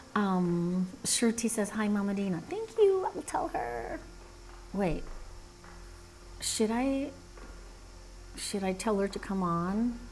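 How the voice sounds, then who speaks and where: A soft-spoken woman at medium pitch, very slow pace, lively intonation and long, frequent pauses, over noticeable background noise. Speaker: animator live streamer. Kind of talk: casual live stream chat. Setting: live stream at a cousin's house.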